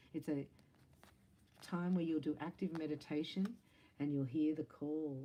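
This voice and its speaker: A woman speaks with an Australian accent. Her voice sits at a very deep, low pitch. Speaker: psychic reader and Reiki teacher. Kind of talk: spiritual tarot-style reading. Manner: fast; animated.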